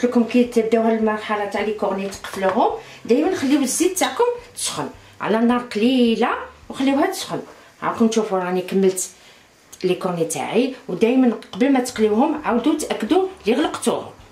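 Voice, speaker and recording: Audible room echo fills the space around a woman. Her intonation is lively. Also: fairly high pitch for a woman, moderate pace. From Algeria. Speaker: cooking channel host. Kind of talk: cooking tutorial. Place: kitchen. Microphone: camera far.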